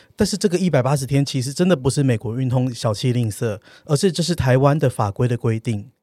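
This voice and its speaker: A man speaks at a very fast pace with a medium pitch, lively intonation and a somewhat breathy, dark, mellow tone, in a very clean recording with a silent background and a dry, close sound with no echo. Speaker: travel podcast co-host. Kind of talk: casual chat. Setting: studio.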